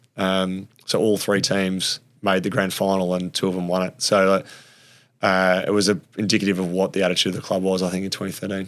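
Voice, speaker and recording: Speaking with an Australian accent, a man talks in a very deep, low, monotone voice at a fairly quick pace, in a very clean recording with a silent background. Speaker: former AFL player. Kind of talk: casual interview chat.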